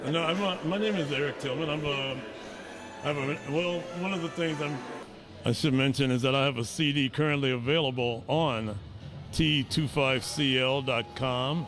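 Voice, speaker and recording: A man with an American accent at a fairly high pitch, with ordinary pitch variation and a moderate pace, plus audible room echo and music in the background. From Chicago, South Side. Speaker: musician and composer. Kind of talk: interview. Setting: networking event. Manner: halting with many fillers.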